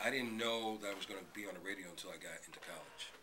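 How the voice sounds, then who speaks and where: With an American accent, a man of fairly low pitch talks at a very fast pace with fairly even intonation, amid noticeable background noise and audible room echo. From Brooklyn, New York City. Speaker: radio host. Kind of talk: interview.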